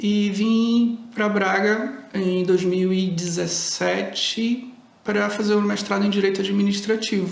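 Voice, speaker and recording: Speaking very slowly in a high, monotone, flat voice at very even loudness, a man is heard with audible room echo and noticeable background noise. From Brazil. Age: 40s. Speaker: jurist. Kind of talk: interview self-introduction.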